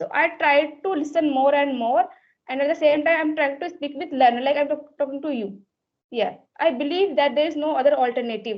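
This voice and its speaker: Ordinary pitch variation and a fairly quick pace, with an Indian accent. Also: woman, high pitch for a woman. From India, Uttar Pradesh. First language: Hindi. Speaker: English learner. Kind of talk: conversation practice chat.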